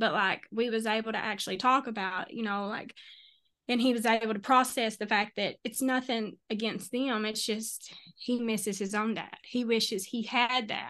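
A woman in a Kentucky accent, fairly high-pitched, with monotone, flat intonation. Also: moderate pace, quiet background. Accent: US Southern (Kentucky). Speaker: grief interviewee, life coach and author. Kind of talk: personal testimony in interview. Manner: halting, many fillers.

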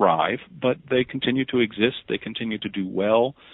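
An ordinary speaking voice moves at a moderate pace in an American accent. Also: man. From Pennsylvania, US. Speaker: history professor. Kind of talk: interview.

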